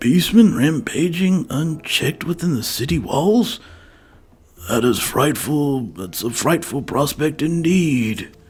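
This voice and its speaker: A put-on character voice at a fairly slow pace, with lively intonation and big swings in loudness. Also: man, fairly high pitch for a man. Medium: game stream. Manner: prim, refined.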